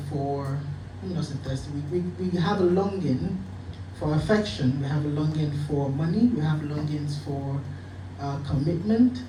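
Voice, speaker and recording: Against noticeable background noise and audible room echo, a man with a fairly high pitch talks at a moderate pace with very wide pitch swings. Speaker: church member giving testimony. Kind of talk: testimony.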